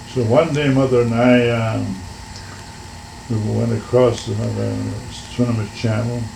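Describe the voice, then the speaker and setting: Over noticeable background noise, a man with an American accent and a medium pitch for a man talks at a very slow pace. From Washington State, USA. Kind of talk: oral history interview answer.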